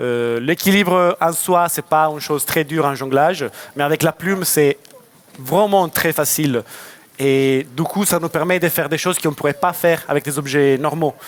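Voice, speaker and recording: With a Lyon accent, a man speaks at a fairly high pitch. Noticeable background noise runs underneath. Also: ordinary pitch variation, moderate pace. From France, Lyon. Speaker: circus juggler. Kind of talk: audience Q&A at a conference. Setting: stage with audience.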